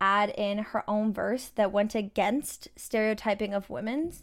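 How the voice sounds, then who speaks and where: With a Canadian accent, a woman speaks in a plain, everyday voice, fairly high in pitch, with ordinary pitch variation at a moderate pace on a very clean recording with a silent background. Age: 20s. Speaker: campus radio host. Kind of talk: radio commentary.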